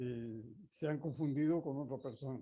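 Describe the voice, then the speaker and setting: With a dark, mellow tone, a man speaks at a medium pitch and a fairly slow pace, sounding somewhat breathy, his intonation fairly even. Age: 80s+. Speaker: amateur radio instructor. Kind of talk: lecture. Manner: halting.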